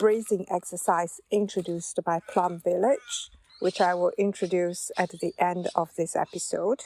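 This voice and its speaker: A woman with a Chinese accent, a dark, mellow tone and ordinary pitch variation, at a fairly slow pace, dry and close with no echo. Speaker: podcast host. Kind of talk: podcast monologue.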